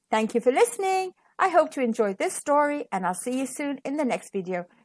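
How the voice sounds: A woman talks at a fairly quick pace in a high pitch with lively intonation.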